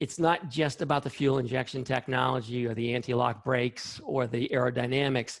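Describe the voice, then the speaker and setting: A man has an unremarkable speaking voice at a medium pitch. He talks at a fairly quick pace with fairly even intonation and hardly any pauses. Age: 60s. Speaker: scientist. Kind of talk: interview.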